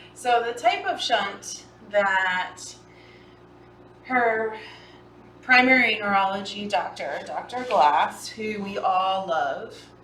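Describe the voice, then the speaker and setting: A woman at fairly high pitch speaks at a very slow pace with ordinary pitch variation and long, frequent pauses, while noticeable background noise and audible room echo fill the recording. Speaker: cat rescue foster host. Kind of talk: livestream casual chat.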